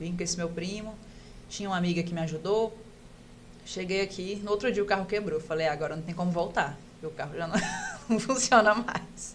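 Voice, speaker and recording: Against noticeable background noise, a woman speaks at a fairly quick pace with medium pitch and ordinary pitch variation, leaving long, frequent pauses. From Pará, northern Brazil. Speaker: orthopedic resident doctor. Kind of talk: casual podcast interview, personal story.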